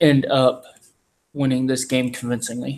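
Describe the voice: With little pitch movement, a man delivers a deadpan tone at medium pitch with a slightly mellow quality.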